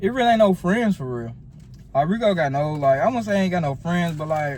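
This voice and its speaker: With a Southern US accent, a man speaks in lively intonation amid audible room echo. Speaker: YouTuber and fashion student. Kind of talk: casual chat. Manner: mouth full.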